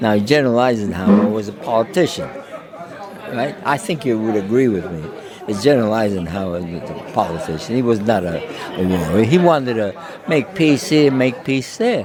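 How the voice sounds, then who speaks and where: Amid crowd noise and audible room echo, a man of medium pitch speaks at a moderate pace with very wide pitch swings. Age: 80s+. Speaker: war veteran. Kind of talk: interview, personal war stories. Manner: halting, with many fillers and repetitions.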